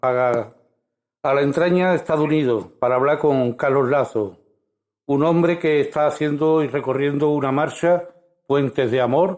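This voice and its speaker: In a very clean recording with a silent background, a man with a normal speaking voice talks at a moderate pace and fairly high pitch, with ordinary pitch variation. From Spain. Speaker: radio host. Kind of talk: radio interview.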